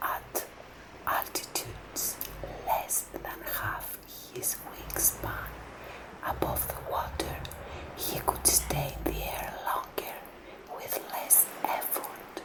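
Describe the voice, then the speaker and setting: The whispering comes at a very slow pace, broken by long, frequent pauses. Background noise can be noticed throughout. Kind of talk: ASMR story narration, audiobook-style reading. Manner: soft-spoken, relaxing.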